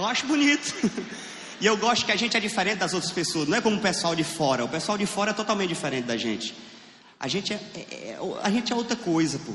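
In a Piauí accent and an animated tone, the speaker talks at a very fast pace with very wide pitch swings, amid noticeable background noise and audible room echo. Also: man, high pitch for a man. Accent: Northeastern Brazilian (Piauí). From Piauí, Brazilian Northeast. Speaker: stand-up comedian. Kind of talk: stand-up. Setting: stage with audience.

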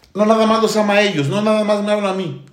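There is audible room echo as a man with a high pitch speaks at a moderate pace. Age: 40s. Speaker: church teacher. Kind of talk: church livestream testimony panel.

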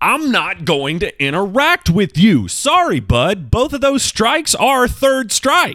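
A man speaks in a raised, projected voice at a very slow pace. His pitch swings very widely. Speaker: podcast host. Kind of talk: casual solo monologue. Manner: casual, rambling.

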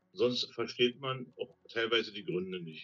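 Lively intonation runs through this man's speech at a medium pitch for a man. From East Germany. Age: 60s. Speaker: retired train driver, former GDR escapee. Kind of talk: interview testimony.

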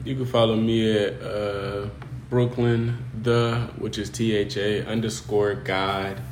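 A man with a fairly low pitch speaks very slowly, with audible room echo and noticeable background noise. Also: ordinary pitch variation. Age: 20s. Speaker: podcast host and barber. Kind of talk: casual chat. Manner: casual, laughing often.

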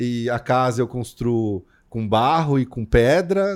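A man's normal speaking voice at medium pitch, with lively intonation, on a very clean recording with a silent background. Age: 40s. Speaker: podcast host. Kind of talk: casual chat.

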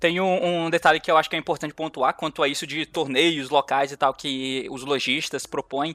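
Over a very clean recording with a silent background, a man talks with hardly any pauses and fairly even intonation. His tone is bright and sharp, and the sound is dry and close with no echo. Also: moderate pace. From Brazil, Goiás. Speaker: card game content creator and podcast host. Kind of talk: casual chat.

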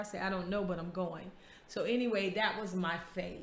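Over noticeable background noise and audible room echo, someone talks at a fairly quick pace in an American accent with monotone, flat intonation. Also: woman. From US South, Florida small town. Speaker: podcast host. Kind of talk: casual chat.

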